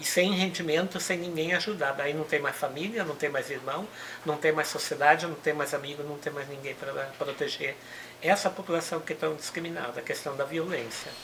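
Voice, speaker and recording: Over noticeable background noise, a woman talks at a fairly quick pace with a very deep, low pitch and fairly even intonation. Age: 60s. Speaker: human rights activist. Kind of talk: interview.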